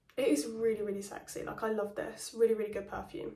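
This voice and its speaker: A woman talks at a very fast pace. Her pitch is medium, and noticeable background noise is present. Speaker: perfume reviewer. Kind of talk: casual talk to camera.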